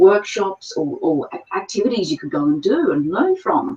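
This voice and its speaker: A woman with an Australian accent speaks at a medium pitch, her voice swinging very widely up and down. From Australia, Sydney. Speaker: paranormal investigator. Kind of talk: interview. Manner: hesitant with fillers.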